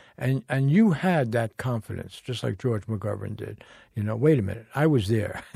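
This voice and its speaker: A man's somewhat breathy, dark and mellow voice at a medium pitch, with ordinary pitch variation, a moderate pace, and a very clean recording over a silent background. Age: 80s+. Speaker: journalist and podcast host. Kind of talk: interview conversation. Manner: halting, with repetitions.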